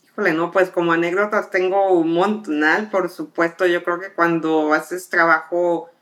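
Recorded very cleanly against a silent background, a woman speaks at a fairly slow pace. Her voice is fairly low in pitch, with monotone, flat intonation. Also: hardly any pauses. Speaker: air traffic controller. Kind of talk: interview conversation.

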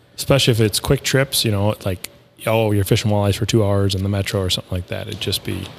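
Music plays behind a man speaking at a very fast pace. His voice is fairly low-pitched, with fairly even intonation. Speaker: podcast host. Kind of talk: casual chat. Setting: studio.

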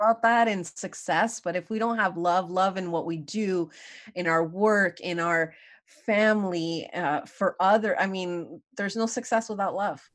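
In a normal speaking voice, a woman speaks at a fairly slow pace, medium in pitch with ordinary pitch variation, against a quiet background. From Canada, Montreal. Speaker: leadership coach. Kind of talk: interview.

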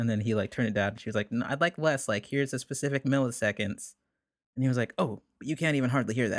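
A man speaks at a very fast pace in a very clean recording with a silent background and a dry, close sound with no echo. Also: medium pitch for a man, ordinary pitch variation. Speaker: singer-songwriter. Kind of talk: casual chat.

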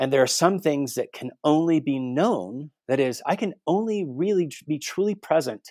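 An unremarkable speaking voice from a man with an American accent, lively intonation and a moderate pace, dry and close with no echo on a very clean recording with a silent background. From Guatemala City, raised as missionary kid, later US. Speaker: theology professor and author. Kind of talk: interview.

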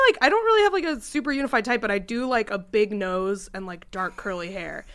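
Fairly quick and lively in intonation, the voice has a bright, sharp tone. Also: woman. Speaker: podcast host and comedian. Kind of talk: casual comedy podcast chat. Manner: laughing, chatty, interjecting.

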